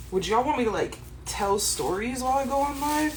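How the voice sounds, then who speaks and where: A woman with an American accent, very wide pitch swings, moderate pace, audible room echo, noticeable background noise. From California. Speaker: cooking livestreamer. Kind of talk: casual livestream chat while cooking. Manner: casual, chatty.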